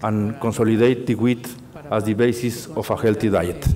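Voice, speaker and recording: A man with a Mexican accent talks at a moderate pace in a medium pitch, his intonation fairly even. Noticeable background noise runs under his voice. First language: Spanish. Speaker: industry council president. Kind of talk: conference presentation. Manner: halting, many fillers and repetitions.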